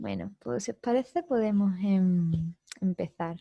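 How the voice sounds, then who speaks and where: A woman with a Spanish accent, somewhat breathy and dark and mellow in tone, at a medium pitch with ordinary pitch variation and a very slow pace, in a dry, close sound with no echo. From southern Spain, Andalusia. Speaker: psychology course instructor. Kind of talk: online lecture.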